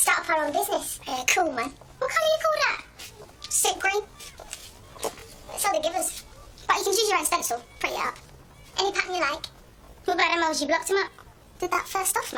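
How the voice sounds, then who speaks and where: In a put-on character voice pitched extremely high, a woman talks very fast with lively intonation and long, frequent pauses over clear background noise. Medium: short film. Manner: casual, slangy.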